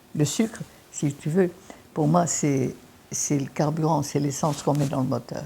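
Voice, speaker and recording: With a dark, mellow tone and a somewhat breathy quality, a woman speaks at a fairly slow pace in a very deep, low voice, using ordinary pitch variation and long, frequent pauses. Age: 80s+. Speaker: naturopath. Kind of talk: interview answer.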